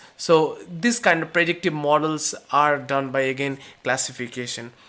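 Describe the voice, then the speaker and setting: The speaker has an Indian accent and a moderate pace. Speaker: course instructor. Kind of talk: lecture. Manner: halting, many fillers.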